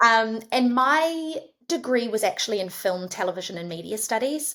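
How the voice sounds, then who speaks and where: With a New Zealand accent, a woman speaks at a moderate pace with lively intonation. Her voice is fairly high, with a bright, sharp tone. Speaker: head of marketing. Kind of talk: podcast interview.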